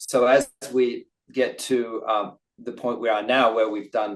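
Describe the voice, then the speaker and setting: Speaking at a fairly slow pace, a man talks with an Australian accent. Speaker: company CEO. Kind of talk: investor webinar Q&A. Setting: online webinar. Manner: hesitant, many fillers.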